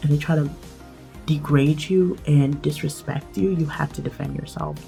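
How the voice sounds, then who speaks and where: With music playing behind her, a woman with a very deep, low pitch talks at a moderate pace in fairly even intonation. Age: 20s. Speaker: English teacher. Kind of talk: storytime talk to camera. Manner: casual, chatty.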